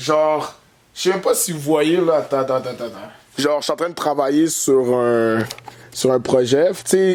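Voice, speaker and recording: Speaking in a Quebec accent at a fairly slow pace, the voice comes through with noticeable background noise. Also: man. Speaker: comedian. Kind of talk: comedic vlog monologue. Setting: workshop. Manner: casual, halting with many fillers.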